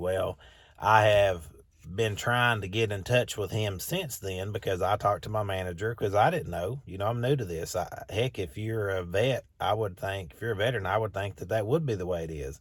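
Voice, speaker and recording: A man's somewhat breathy voice with fairly low pitch, ordinary pitch variation and moderate pace, on a very clean recording with a silent background. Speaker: new life insurance agent and pressure washing business owner. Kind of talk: casual vlog talk. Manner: upbeat, energetic; informal, with fillers and repeated words.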